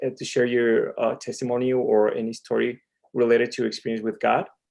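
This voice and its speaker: Fairly quick speech with a Spanish accent. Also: man. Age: 40s. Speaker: ministry president, comic artist. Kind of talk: interview. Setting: live stream.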